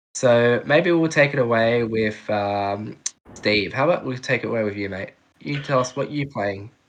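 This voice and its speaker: This man has an Australian accent, a medium pitch, ordinary pitch variation and a moderate pace. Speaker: podcast host. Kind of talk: casual chat.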